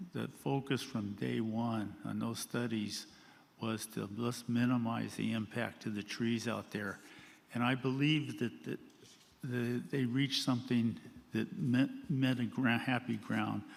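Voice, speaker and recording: With ordinary pitch variation, a man speaks through vocal fry. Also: medium pitch for a man, fairly slow pace. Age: 80s+. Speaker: retired flood control engineer, public commenter. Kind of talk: public comment at board meeting.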